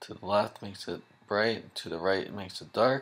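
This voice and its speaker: A soft-spoken man talks with a fairly low pitch. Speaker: software tutorial maker. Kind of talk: tutorial. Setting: home at night, others sleeping. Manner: soft-spoken, talking low; casual.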